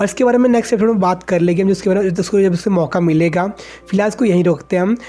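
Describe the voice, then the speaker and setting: A man speaks at a high pitch for a man, with ordinary pitch variation. Noticeable background noise runs through the clip. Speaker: anime explainer. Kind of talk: casual anime episode recap.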